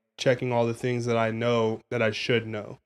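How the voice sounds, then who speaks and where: At a moderate pace, a man talks in a plain, everyday voice at a medium pitch with an American accent. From Phoenix, Arizona. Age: 20s. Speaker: podcast co-host. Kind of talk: casual chat.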